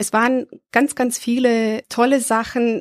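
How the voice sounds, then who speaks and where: A woman's voice, dry and close with no echo, on a very clean recording with a silent background. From Serbia. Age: 30s. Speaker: adult education worker. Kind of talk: interview. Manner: hesitant with fillers.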